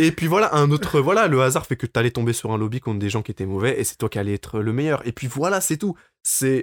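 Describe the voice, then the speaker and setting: Speaking at a very fast pace, a man with medium pitch uses lively intonation in a dry, close sound without echo. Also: very clean recording, silent background. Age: 20s. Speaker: campus radio host. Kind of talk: casual chat.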